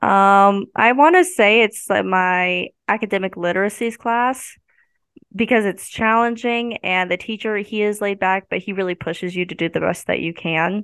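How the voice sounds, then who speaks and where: In a Midwestern American accent, a woman speaks at a moderate pace with medium pitch and ordinary pitch variation. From US Midwest, northwest Missouri. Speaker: college student. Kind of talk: casual interview.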